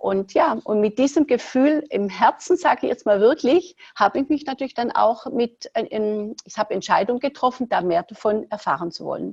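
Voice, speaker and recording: A woman speaks at a moderate pace and fairly high pitch, with vocal fry and very wide pitch swings. The sound is dry and close with no echo. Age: 60s. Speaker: entrepreneur, former fitness studio owner. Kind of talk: podcast interview.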